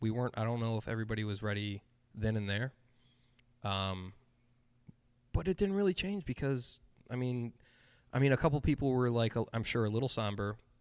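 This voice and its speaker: Speaking at a fairly quick pace with long, frequent pauses, a man uses a medium pitch and ordinary pitch variation on a very clean recording with a silent background. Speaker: brewery company representative. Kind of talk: casual chat. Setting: studio. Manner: animated.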